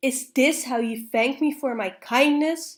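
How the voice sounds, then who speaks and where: On a very clean recording with a silent background, a woman bellows in a high-pitched, put-on character voice at a fairly slow pace. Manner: roaring, indignant.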